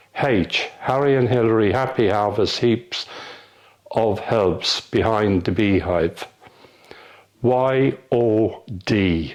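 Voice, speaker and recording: A man's voice at a medium pitch, with ordinary pitch variation. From Mallow, County Cork, Ireland. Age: 70s. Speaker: engineer and trade union official. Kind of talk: word list reading.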